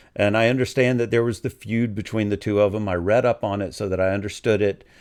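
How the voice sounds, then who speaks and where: Fairly low in pitch, a man with a plain, everyday voice speaks with ordinary pitch variation on a very clean recording with a silent background. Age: 60s. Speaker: music video reactor. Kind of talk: casual commentary rant. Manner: conversational, with many fillers.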